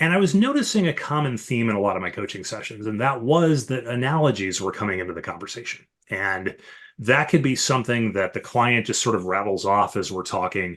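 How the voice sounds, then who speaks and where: In an ordinary speaking voice, a man with an American accent talks at a medium pitch and fairly quick pace with lively intonation against a quiet background. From US Midwest, Chicago area. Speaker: leadership coach and author. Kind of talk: podcast interview.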